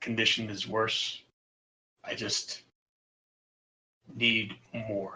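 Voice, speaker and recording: In a put-on character voice, a man speaks very slowly with medium pitch, a raspy sound, monotone, flat intonation and long, frequent pauses. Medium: actual play. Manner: terse, quiet.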